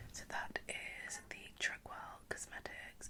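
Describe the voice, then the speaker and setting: A woman whispering with a British accent in a gentle, calm tone at a fairly slow pace, with noticeable background noise. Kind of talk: ASMR makeup routine, whispered commentary to camera. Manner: soft, gentle, calm.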